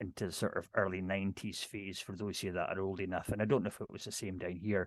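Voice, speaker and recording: Over a quiet background, a man speaks in a strong Scottish Highland accent, fairly low in pitch. His intonation is monotone and flat, and the sound is dry and close with no echo. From Scottish Highlands, near Inverness. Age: 50s. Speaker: ceilidh dance caller. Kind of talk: casual talk on video call. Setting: video call. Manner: fast.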